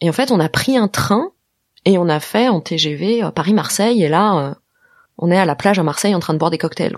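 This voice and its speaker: Using an ordinary speaking voice, a woman speaks at a moderate pace with a fairly low pitch and lively intonation. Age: 40s. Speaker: podcast creator and host. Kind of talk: interview testimony.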